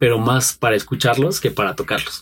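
This is a man's voice. It comes across somewhat breathy. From Mexico, Pachuca and State of Mexico. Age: 30s. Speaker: musician, guitarist. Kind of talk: interview.

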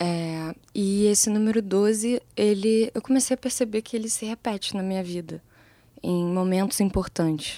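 The tone is dark and mellow, at a moderate pace with ordinary pitch variation. The recording is very clean and silent in the background, with a dry, close sound and no echo. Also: woman, medium pitch for a woman. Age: 20s. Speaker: music producer, songwriter and singer. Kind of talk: casual interview.

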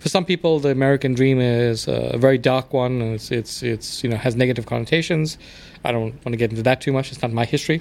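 A man with a South African accent at a very fast pace, with ordinary pitch variation and noticeable background noise. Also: medium pitch for a man. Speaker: immigrant guest. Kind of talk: casual chat.

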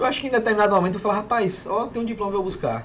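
A man's voice with audible room echo. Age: 30s. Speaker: burger restaurant owner. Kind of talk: casual chat.

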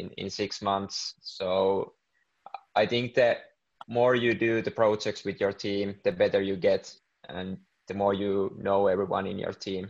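A man with a Finnish accent speaks at a fairly slow pace in a fairly low pitch, with monotone, flat intonation over a quiet background. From Finland. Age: 20s. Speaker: business student and entrepreneur. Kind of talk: interview.

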